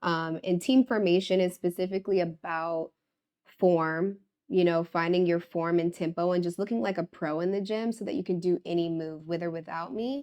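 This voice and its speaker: An ordinary speaking voice from a woman, fairly low in pitch, with an American accent, ordinary pitch variation, a moderate pace and a quiet background. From US East Coast, Washington DC. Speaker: pharmacist and fitness trainer. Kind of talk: interview conversation.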